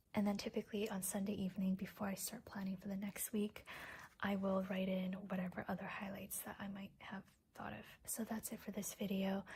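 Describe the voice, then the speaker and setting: The soft-spoken voice moves at a fairly quick pace. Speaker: planner YouTuber. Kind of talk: casual vlog chat while planning. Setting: at home at night, others asleep. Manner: quiet, soft-spoken.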